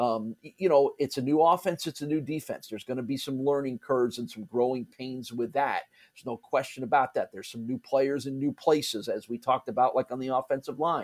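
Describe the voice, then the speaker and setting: With a normal speaking voice and an American accent, the speaker talks at a fairly quick pace with fairly even intonation, in a dry, close sound with no echo. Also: man, medium pitch for a man, hardly any pauses. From US Northeast (New Jersey, New York area). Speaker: college sports play-by-play broadcaster. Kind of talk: casual interview.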